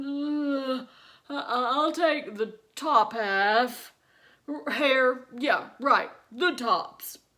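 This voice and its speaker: A high-pitched, female-sounding put-on character voice, delivered very slowly. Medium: read story. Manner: slow, drowsy.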